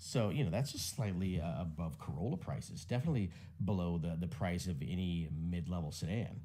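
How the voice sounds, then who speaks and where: A man's very deep, low-pitched voice, dark and mellow in tone, with lively intonation and audible room echo. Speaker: tech commentator. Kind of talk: casual commentary. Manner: fast.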